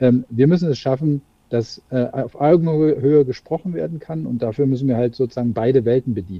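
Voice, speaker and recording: The voice is a man's at medium pitch. Its pitch rises and falls in an ordinary way. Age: 40s. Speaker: managing director of a corporate spin-off. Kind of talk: interview. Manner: halting, many fillers.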